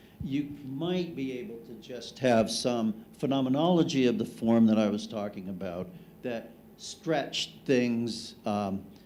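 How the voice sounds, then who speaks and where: Loud and with lively intonation, a man speaks at a fairly slow pace amid audible room echo. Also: medium pitch for a man. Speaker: cosmologist. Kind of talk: conference panel discussion.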